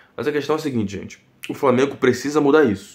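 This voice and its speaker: A man talks at a very fast pace. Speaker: football YouTuber. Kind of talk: post-match commentary vlog. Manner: soft-spoken, talking quietly.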